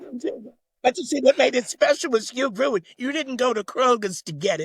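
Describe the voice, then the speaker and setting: In an American accent, a man with an extremely high pitch talks at a fairly quick pace, the sound dry and close without echo. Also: lively intonation. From New York City. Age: 80s+. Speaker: LGBTQ+ activist. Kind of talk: interview.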